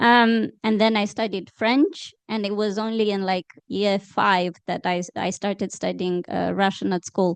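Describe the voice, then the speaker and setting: Against a quiet background, a woman with a Romanian accent speaks at a fairly slow pace and medium pitch, with fairly even intonation, hardly any pauses, and a dry, close sound with no echo. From Moldova, Chisinau. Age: 30s. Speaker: journalist and author. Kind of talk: panel discussion.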